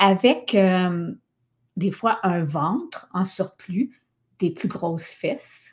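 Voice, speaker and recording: A woman with a Quebec accent speaks at a very slow pace, somewhat breathy, with lively intonation and long, frequent pauses. The recording is very clean, with a silent background. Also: medium pitch for a woman. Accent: Québécois French. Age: 50s. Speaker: podcast host and wellness coach. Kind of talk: casual monologue podcast. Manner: animated, casual.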